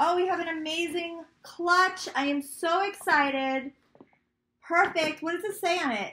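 Extremely high pitch for a woman, a raised, projected voice, a bright, sharp, animated tone, and a fairly slow pace. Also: ordinary pitch variation. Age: 40s. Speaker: lifestyle YouTuber and blogger. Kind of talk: casual unboxing vlog. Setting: home office. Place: home room.

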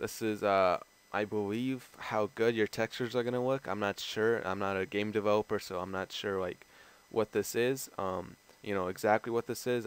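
A man with an ordinary speaking voice and an American accent, fairly low in pitch, fairly quick, with fairly even intonation. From outside the US. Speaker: gaming YouTuber. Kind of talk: tutorial. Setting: screen recording voiceover. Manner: casual, filler-heavy.

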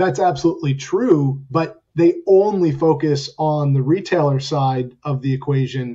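Somewhat breathy, a man talks at a fairly slow pace and fairly high pitch with ordinary pitch variation and hardly any pauses. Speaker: business executive. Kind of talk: panel discussion.

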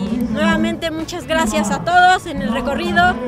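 The speech moves at a moderate pace. Loud music sits in the background. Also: woman. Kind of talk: interview answer. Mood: grateful, proud. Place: open country. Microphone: handheld.

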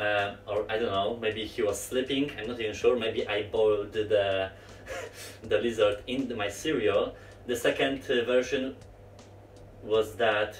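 With music in the background, a man speaks at a fairly slow pace. The room echo is audible. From Poland, Olsztyn area. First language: Polish. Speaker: gaming YouTuber. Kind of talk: storytime vlog while playing VR. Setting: home recording, VR headset. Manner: halting, many fillers. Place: home room.

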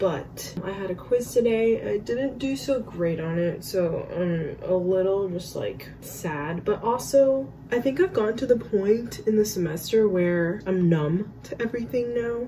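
A woman speaks at a fairly slow pace and medium pitch. Noticeable noise sits in the background. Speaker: PA student vlogger. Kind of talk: casual vlog. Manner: casual, chatty, direct to camera.

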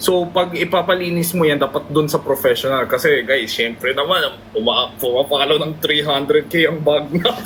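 Moderate pace with noticeable background noise. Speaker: live streamer. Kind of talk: casual chat. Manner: animated.

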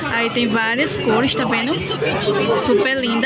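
Crowd noise fills the background while the speech moves at a moderate pace in a dry sound with no echo. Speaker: market vlogger showing products. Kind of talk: casual vlog chat. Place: market. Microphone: phone near.

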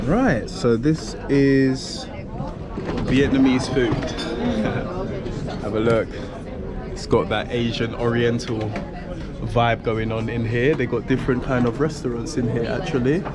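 Crowd noise fills the background as a man speaks. He talks at a fairly slow pace with long, frequent pauses. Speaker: travel vlogger. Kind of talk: casual vlog chat. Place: cafe. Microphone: phone near.

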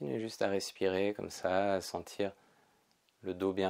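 Against a quiet background, a man speaks in a calm, soothing tone with a very deep, low pitch. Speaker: yoga teacher. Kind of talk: guided meditation. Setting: pre-recorded video session. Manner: slow, soft, calm and soothing, with long pauses. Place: home room.

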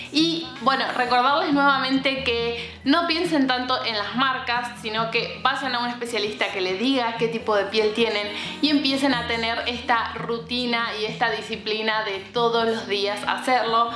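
Over clear music in the background and audible room echo, a woman speaks at a fairly slow pace with ordinary pitch variation. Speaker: beauty vlogger. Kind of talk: casual vlog chat. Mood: warm, cheerful. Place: home room.

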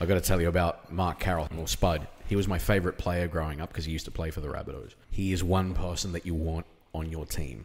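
A man with an Australian accent speaks very fast, his pitch very deep and low. His intonation stays fairly even. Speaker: podcast host. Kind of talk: casual chat. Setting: distillery.

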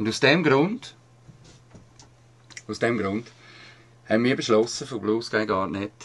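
Speaking with a Swiss accent, a man uses lively intonation. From Switzerland. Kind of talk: activist commentary voice-over.

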